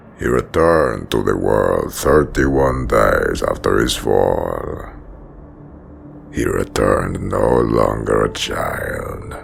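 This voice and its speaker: A man uses a put-on character voice at a very slow pace. Clear background noise runs behind him. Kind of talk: audio drama narration.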